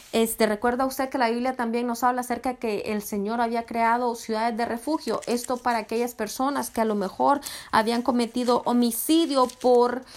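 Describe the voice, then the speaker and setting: This woman's pitch runs high. There is little rise and fall, as her intonation stays fairly even. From Honduras. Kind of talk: sermon.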